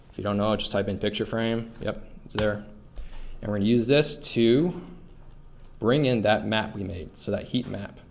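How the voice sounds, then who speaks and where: The man has a fairly low pitch. His pitch variation is ordinary. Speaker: GIS course instructor. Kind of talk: tutorial. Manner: fast; hesitant fillers.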